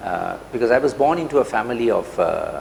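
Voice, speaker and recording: Noticeable background noise is present. Through it, a man is talking. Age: 60s. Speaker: CEO and business leader. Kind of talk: interview. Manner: hesitant, with many fillers.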